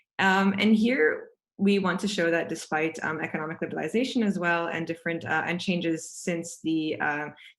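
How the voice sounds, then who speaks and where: The recording is very clean, with a silent background. The pace is fairly quick and the pitch varies in an ordinary way. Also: woman. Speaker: panelist at a policy webinar. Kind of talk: presentation. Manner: fast.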